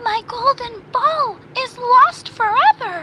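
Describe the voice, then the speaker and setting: A woman does a put-on character voice at an extremely high pitch, raised and projected. She goes at a very slow pace. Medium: read story.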